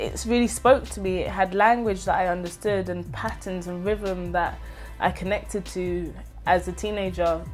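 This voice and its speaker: A woman talks at a moderate pace, her loudness swinging widely. Faint music plays in the background. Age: 20s. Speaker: spoken word poet. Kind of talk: interview answer. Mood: warm, reflective, animated. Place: home room.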